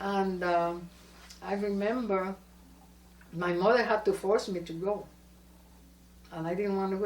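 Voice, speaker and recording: A woman with a Spanish accent talks at a medium pitch. Room echo is audible, and background noise is noticeable. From Puerto Rico (Cayey). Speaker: family elder interviewee. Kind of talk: oral history interview. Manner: halting.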